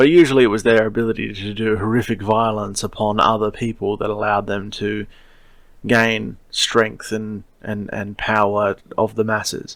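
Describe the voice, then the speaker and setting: With an Australian accent, a man talks at a moderate pace in a fairly low pitch and fairly even intonation, on a very clean recording with a silent background. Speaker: podcast host, science fiction writer. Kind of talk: solo podcast monologue. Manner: casual, digressive with fillers.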